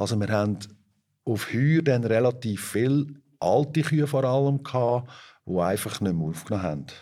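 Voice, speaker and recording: A man with a dark, mellow tone speaks at a moderate pace in a medium pitch with lively intonation and long, frequent pauses, in a very clean recording with a silent background. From Switzerland, Fricktal (Aargau). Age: 50s. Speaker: organic dairy farmer. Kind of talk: interview. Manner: hesitant with filler sounds.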